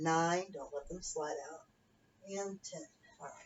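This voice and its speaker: A woman speaks in a somewhat breathy voice. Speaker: fitness instructor. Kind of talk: exercise class instruction.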